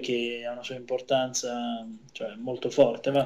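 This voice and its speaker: Here a man is talking. His pace is moderate and his pitch medium. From Salerno, southern Italy. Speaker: wine importer and sommelier. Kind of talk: radio interview.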